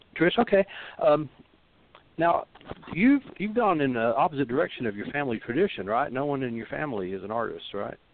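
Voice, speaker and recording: A man's fairly high voice with very wide pitch swings, a fairly quick pace, and long, frequent pauses. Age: 60s. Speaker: rootworker and reader. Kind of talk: call-in advice show. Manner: halting, many fillers.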